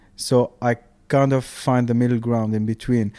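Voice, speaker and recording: The voice has a dark, mellow tone and a monotone, flat delivery at a moderate pace, recorded with a dry, close sound and no echo. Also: man. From Tunisia. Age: 30s. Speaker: architect, DJ and music producer. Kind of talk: casual chat.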